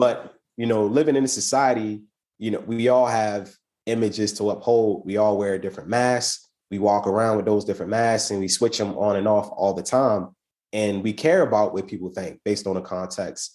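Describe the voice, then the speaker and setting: A dark, mellow tone with fairly even intonation at a moderate pace, over a quiet background. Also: man, fairly low pitch for a man. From US, Baltimore. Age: 30s. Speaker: improv performer, artist and entrepreneur. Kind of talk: podcast interview. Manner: casual, many fillers and repetitions.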